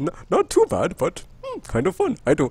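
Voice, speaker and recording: Speaking at a moderate speed, the man puts on a character voice. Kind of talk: posh, scholarly.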